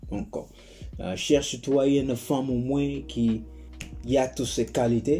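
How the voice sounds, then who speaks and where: A man with a non-native accent speaks at a fairly slow pace, his medium-pitched voice dark, mellow and somewhat breathy. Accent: non-native French, self-conscious. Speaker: advice YouTuber. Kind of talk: casual monologue. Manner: halting, repeats words.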